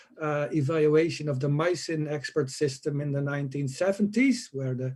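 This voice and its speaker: With ordinary pitch variation, this somewhat breathy voice of dark, mellow tone proceeds at a moderate pace. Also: man. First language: not English. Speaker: conference panelist. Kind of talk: conference Q&A answers. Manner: hesitant, many filler uhs.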